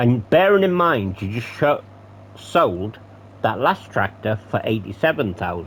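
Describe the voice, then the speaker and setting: His voice somewhat breathy, a man keeps a moderate pace while his pitch moves in very wide swings. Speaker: gaming commentator. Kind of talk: gameplay commentary. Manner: casual, swearing asides.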